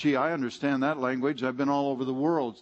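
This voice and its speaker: A moderate pace and fairly even intonation in an ordinary speaking voice, with an American accent. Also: man. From California. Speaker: guest preacher. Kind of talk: sermon.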